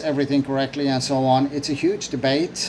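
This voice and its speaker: A man speaks with monotone, flat intonation. Noticeable background noise runs underneath. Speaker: vlogger. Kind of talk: opinion monologue. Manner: hesitant, many fillers and repetitions.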